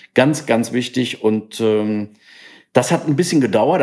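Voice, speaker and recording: A man with an ordinary speaking voice, ordinary pitch variation and a fairly slow pace, on a very clean recording with a silent background. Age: 60s. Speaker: entrepreneur, company founder. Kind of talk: interview.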